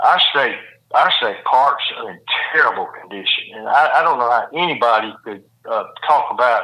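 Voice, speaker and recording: A man speaks with a Mississippi accent. His pace is fairly quick. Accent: Mississippi Southern. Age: 70s. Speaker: former judge and governor candidate. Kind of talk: interview. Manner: repetitive, halting phrasing.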